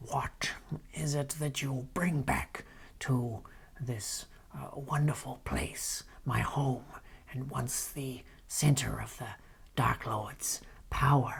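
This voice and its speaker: A put-on character voice speaks in a low-to-middle pitch. The pace is very slow, with long, frequent pauses. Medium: actual play. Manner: slow, suspicious, formal.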